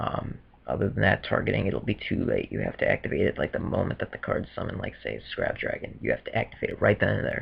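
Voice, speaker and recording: Speaking very fast, a man is heard against noticeable background noise. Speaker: card game judge. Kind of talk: casual talk to camera. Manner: hesitant, many fillers.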